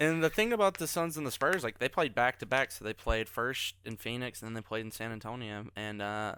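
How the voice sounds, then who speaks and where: A man with a Carolina accent speaks at a fairly quick pace and a medium pitch, his intonation lively and his tone bright and sharp, with big swings in loudness. The recording is very clean, with a silent background and a dry, close sound with no echo. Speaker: podcast guest, NBA fan. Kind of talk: casual chat.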